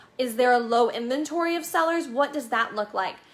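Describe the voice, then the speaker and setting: A woman's high-pitched, raised, projected voice, animated in tone, with lively intonation at a moderate pace. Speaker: real estate broker. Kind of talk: market update video.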